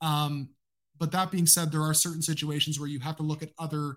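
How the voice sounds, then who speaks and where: A man's bright, sharp, fairly high voice with a Canadian accent, in a very clean recording over a silent background. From Canada. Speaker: football analyst and podcaster. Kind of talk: casual interview chat.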